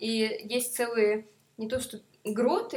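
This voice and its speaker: Her voice sits fairly high for a woman, a normal speaking voice with ordinary pitch variation. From Moscow. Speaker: tourist. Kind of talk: casual chat.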